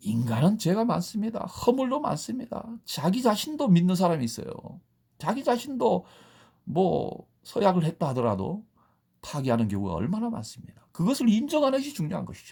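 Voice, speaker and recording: Someone with a Gyeongsang accent talks at a moderate pace. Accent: Gyeongsang regional Korean. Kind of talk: sermon-like, lecturing.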